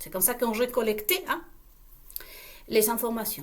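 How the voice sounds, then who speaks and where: Her voice high-pitched, a woman talks with a non-native accent. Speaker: online video creator. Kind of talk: casual monologue to viewers. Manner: halting, with many repetitions; animated, uses gestures.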